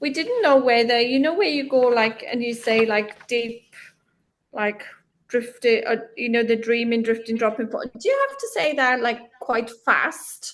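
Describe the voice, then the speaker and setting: A woman's high voice at a fairly slow pace with ordinary pitch variation. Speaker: hypnosis training student. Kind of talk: casual chat.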